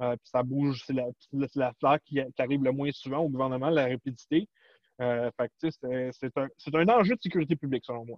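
Here a man speaks in a plain, everyday voice at a medium pitch. His pace is moderate and his pitch variation ordinary. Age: 40s. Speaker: cybersecurity specialist. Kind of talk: interview.

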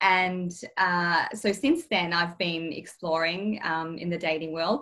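A woman with an Australian accent, medium in pitch and bright, sharp in tone, at a very slow pace with ordinary pitch variation. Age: 30s. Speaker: interview guest sharing dating experience. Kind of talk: casual interview, personal testimony. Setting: video call.

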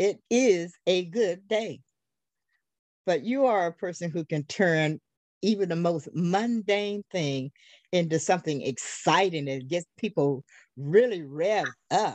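In an American accent and an enthusiastic tone, the speaker talks at a fairly slow pace with lively intonation and long, frequent pauses against a quiet background. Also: woman, fairly low pitch for a woman. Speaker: podcast host. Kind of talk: interview.

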